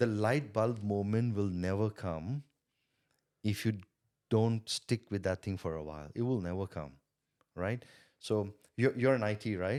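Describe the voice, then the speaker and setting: In a very clean recording with a silent background, a man with a non-native accent and fairly low pitch speaks at a fairly slow pace, with long, frequent pauses and ordinary pitch variation. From India. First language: not English. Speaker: sales coach and entrepreneur. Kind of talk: podcast interview. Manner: repetitive, halting starts.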